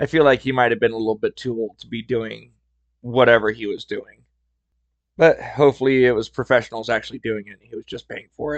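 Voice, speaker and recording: A man speaks at a very fast pace, his loudness swinging widely. His pitch sits in the middle range, with fairly even intonation. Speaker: podcast host. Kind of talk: storytelling podcast. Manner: casual, chatty.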